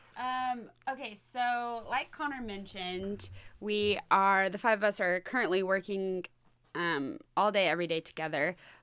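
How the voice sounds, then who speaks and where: A woman with an American accent speaks at a medium pitch, her tone bright and sharp. Her delivery is fairly slow with lively intonation, in a very clean recording with a silent background. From Texas, North Texas. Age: 20s. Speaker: podcast host, camp intern. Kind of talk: casual chat. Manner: animated.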